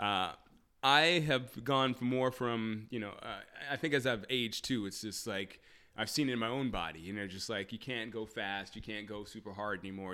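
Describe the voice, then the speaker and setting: An energetic, bright and sharp tone with ordinary pitch variation, on a very clean recording with a silent background. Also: man. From moved around as a military child. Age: 40s. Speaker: personal trainer. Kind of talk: interview conversation. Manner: energetic, laughs often.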